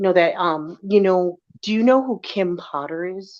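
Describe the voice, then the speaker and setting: A woman talks at medium pitch with ordinary pitch variation. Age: 50s. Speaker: former hairdresser and police officer. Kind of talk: casual chat. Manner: animated.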